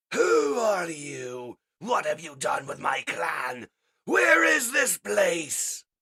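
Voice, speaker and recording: At a very slow pace, a man with a high pitch puts on a character voice. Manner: angry, bellowing.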